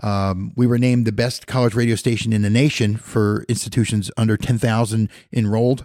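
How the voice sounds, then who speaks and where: On a very clean recording with a silent background, a man with an American accent speaks in a dark, mellow tone with monotone, flat intonation. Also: medium pitch for a man, fairly quick pace, hardly any pauses, very even loudness. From Philadelphia. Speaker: college radio station manager and professor. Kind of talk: casual interview.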